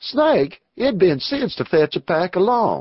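Putting on a character voice, a man drawls in a high pitch at a fairly slow pace, his pitch swinging very widely. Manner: drawling.

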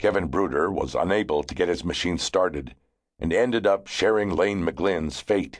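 Against a quiet background, a man with a very deep, low pitch and vocal fry speaks at a moderate pace in a serious tone with ordinary pitch variation. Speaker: audiobook narrator. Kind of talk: dramatic audiobook narration, telling a grim true story of a deadly avalanche. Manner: gravely serious, suspenseful, building tension with measured pacing; vivid storyteller, brisk and urgent during the avalanche and rescue.

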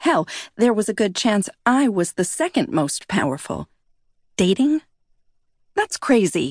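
A woman with a fairly high pitch and vocal fry speaks at a fairly slow pace in an animated tone, with very wide pitch swings and long, frequent pauses. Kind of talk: audiobook narration, first-person fiction with character dialogue. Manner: animated, expressive, shifting between narration and quoted dialogue.

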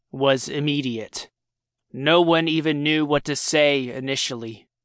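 A man speaks at a fairly slow pace in a fairly high pitch. His intonation is monotone and flat, against a quiet background. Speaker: audiobook narrator. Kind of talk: dramatic audiobook narration of a horror short story. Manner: tense, building suspense through grisly discovery; shifts into urgent, frantic character dialogue.

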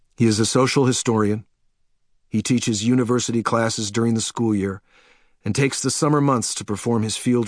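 In an unremarkable speaking voice, a man talks at a fairly quick pace with medium pitch and fairly even intonation. The sound is dry and close with no echo, and the background is quiet. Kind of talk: audiobook narration. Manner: measured, literary, steady pace; reflective, wistful, slightly wry tone.

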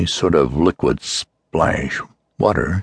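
A man's voice with vocal fry, the sound dry and close with no echo. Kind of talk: dramatic audiobook narration of a horror story. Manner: hushed, suspenseful, grave pacing building dread.

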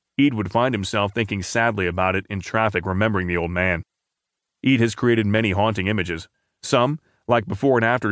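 Against a quiet background, a man talks at a fairly quick pace with ordinary pitch variation and a plain, everyday voice. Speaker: newspaper audio narrator. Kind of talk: news reading, scripted narration of newspaper articles. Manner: formal, measured and even-paced; steady, neutral newsreader delivery.

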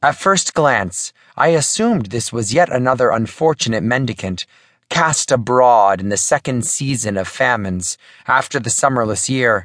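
Against a quiet background, a man with a medium pitch speaks at a moderate pace in a dramatic tone with lively intonation, the sound dry and close with no echo. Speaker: audiobook narrator. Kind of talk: audiobook narration, dramatic reading of a period letter in first person. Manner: dramatic, formal, measured period-style delivery.

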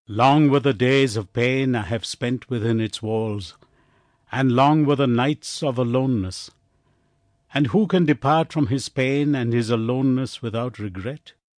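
A man uses a normal speaking voice at a medium pitch with ordinary variation, in a dry, close sound with no echo and a quiet background. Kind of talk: audiobook narration. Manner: formal, measured, solemn.

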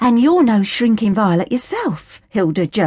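A passage is read aloud in a natural voice. Lively intonation runs through it.

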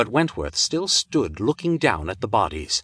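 Bright and sharp in tone, a man speaks at a moderate pace with very wide pitch swings against a quiet background. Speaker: audiobook narrator. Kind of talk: dramatic pulp-thriller audiobook narration. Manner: punchy, suspenseful pacing through gunfight action.

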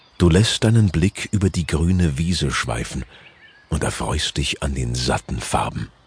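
Over noticeable background noise, a man with a very deep, low voice speaks at a fairly slow pace with lively intonation. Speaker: audiobook narrator. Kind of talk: guided meditation. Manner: slow, soft-spoken, soothing; long pauses between short sentences.

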